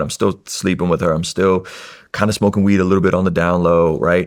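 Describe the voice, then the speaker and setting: A man at a fairly quick pace. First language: Russian. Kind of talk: testimony.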